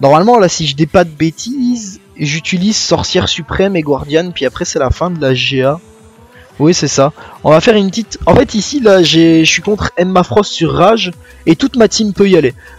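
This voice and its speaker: Over noticeable background noise, the dry, close sound with no echo carries lively intonation at a moderate pace. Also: man, high pitch for a man. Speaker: gaming youtuber. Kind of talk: gameplay commentary. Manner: slight stutter today.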